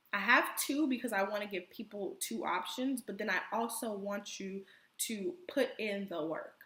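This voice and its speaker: With a bright, sharp tone, a woman speaks at a medium pitch with lively intonation. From Miami and Caribbean island. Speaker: online business coach. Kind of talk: pre-recorded online class. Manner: casual, direct.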